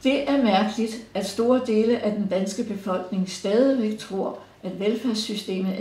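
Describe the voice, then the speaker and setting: At a fairly slow pace, a woman talks at medium pitch amid audible room echo and noticeable background noise. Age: 70s. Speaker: pensioner. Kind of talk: prepared statement read aloud. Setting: recorded interview.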